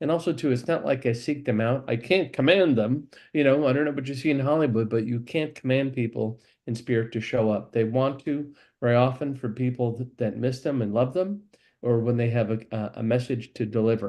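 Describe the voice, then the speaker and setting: A dark, mellow tone at a fairly quick pace, against a quiet background. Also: man, medium pitch for a man, ordinary pitch variation. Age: 60s. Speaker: psychic medium. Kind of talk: interview. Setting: live stream. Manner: halting.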